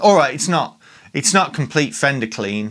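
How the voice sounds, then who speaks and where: A man with a Birmingham accent speaks with very wide pitch swings. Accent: Birmingham (Brummie) English. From Birmingham, England. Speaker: guitar pedal demo youtuber. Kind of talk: casual gear demo talk. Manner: animated.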